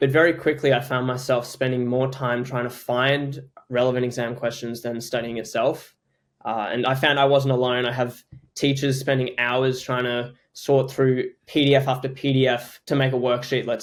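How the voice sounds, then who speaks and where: A man with an Australian accent at a medium pitch, monotone, flat intonation and a moderate pace. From Australia, Queensland. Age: young. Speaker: startup founder. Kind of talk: podcast interview.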